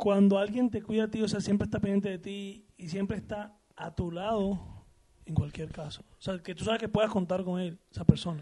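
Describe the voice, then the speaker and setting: Pitched high for a man, his dark, mellow voice moves at a fairly quick pace with fairly even intonation and big swings in loudness. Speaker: co-host. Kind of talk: casual chat. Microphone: mic poorly placed; too quiet.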